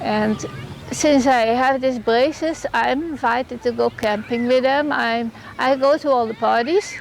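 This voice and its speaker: A woman speaks at a high pitch and a fairly slow pace. Noticeable background noise runs behind her. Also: ordinary pitch variation. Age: 70s. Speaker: post-polio patient. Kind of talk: testimonial interview.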